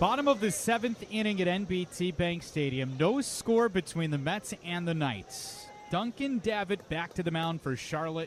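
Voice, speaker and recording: With hardly any pauses, a man speaks at a moderate pace and a high pitch, his intonation lively against noticeable background noise. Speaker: baseball radio play-by-play announcer. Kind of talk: baseball radio play-by-play call.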